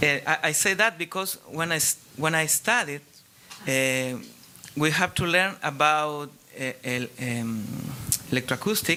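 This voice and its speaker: A fairly high-pitched man with lively intonation and long, frequent pauses, over noticeable background noise. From Chile. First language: Spanish. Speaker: audience member asking a question; acoustic engineer. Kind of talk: audience question at panel. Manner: halting.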